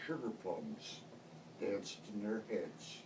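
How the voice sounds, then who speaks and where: A man talks over noticeable background noise. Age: 70s. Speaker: grandfather. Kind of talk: poetry reading to family.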